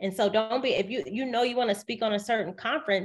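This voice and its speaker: A woman with an American accent talks at a very fast pace, her fairly high pitch showing ordinary variation. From US South, Decatur, Georgia. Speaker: writer, media personality and professional speaker. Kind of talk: interview. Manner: speeds up when excited.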